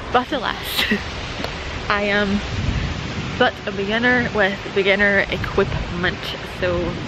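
Over noticeable background noise, a woman with a Scottish accent talks at a very slow pace with long, frequent pauses, her sound dry and free of echo. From Scotland. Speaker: wildlife photographer. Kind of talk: casual talk to camera. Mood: cheerful, self-deprecating. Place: open country. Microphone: phone near.

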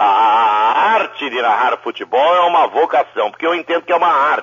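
The pitch swings very widely, rising and falling a great deal. There is vocal fry in the voice. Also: man. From Brazil, Sorocaba (São Paulo interior). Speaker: football radio commentator. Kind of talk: interview. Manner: animated.

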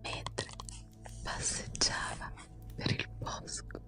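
A woman is whispering at a very slow pace. Clear music plays in the background. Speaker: ASMR creator. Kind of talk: relaxing storybook reading. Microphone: studio mic.

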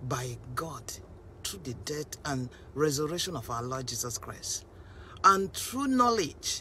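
A woman speaks at a fairly slow pace in a very deep, low voice. Her pitch swings very widely, and the sound is dry with no echo over light background noise. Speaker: preacher. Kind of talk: sermon. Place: car. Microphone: phone near.

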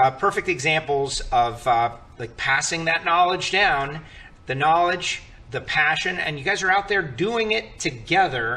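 This man's intonation is lively. He speaks at a fairly slow pace. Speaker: show host. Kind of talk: roundtable host introduction. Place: studio. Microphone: podium.

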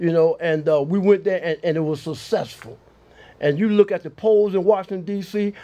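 A man talks in a high pitch with a dark, mellow tone. His pace is moderate and his pitch variation ordinary. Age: 60s. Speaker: Vietnam veteran; talk show guest. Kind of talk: casual talk show. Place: studio. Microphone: lapel.

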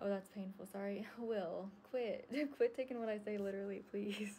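A woman speaks at a moderate pace with fairly even intonation. Light background noise sits behind her. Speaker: livestreamer. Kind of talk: casual livestream chat. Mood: amused, laughing. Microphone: phone near.

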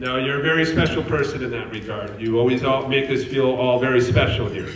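A man's medium-pitched voice at a fairly quick pace, fairly even in intonation, with audible room echo and light background noise. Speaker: retirement community CEO. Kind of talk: casual conversation. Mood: warm, praising. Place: hall. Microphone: handheld.

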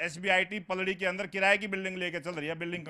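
Against a quiet background, a raised, projected voice with a bright, sharp tone speaks at a moderate pace. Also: man. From Haryana, Sonipat area; Haryana. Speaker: local politician. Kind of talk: political debate. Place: garden. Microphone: handheld.

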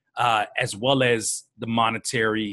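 Over a quiet background, a man talks in a bright, sharp tone. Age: 30s. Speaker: hip hop producer and rapper. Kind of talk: casual interview.

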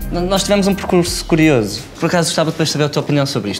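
A man at a very fast pace, with faint music in the background. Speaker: startup founder. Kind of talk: casual interview chat. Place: studio. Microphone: lapel.

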